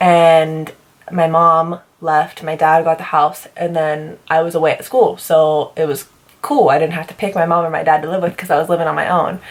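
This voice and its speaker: Woman with a fairly low pitch and an animated tone, at a moderate pace. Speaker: beauty vlogger. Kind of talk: casual chat.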